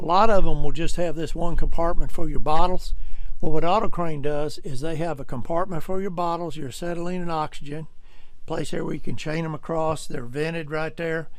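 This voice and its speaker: A man with an American accent talks at a fairly quick pace in a high pitch, with fairly even intonation. His loudness swings widely. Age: 70s. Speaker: truck salesman. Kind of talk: sales pitch. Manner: casual folksy.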